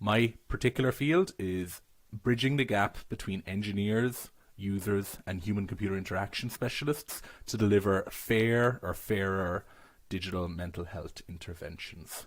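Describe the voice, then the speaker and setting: Speaking at a moderate pace with a slight Irish accent, a man uses a fairly low pitch and ordinary pitch variation. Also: very clean recording, silent background. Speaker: PhD student. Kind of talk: self-introduction.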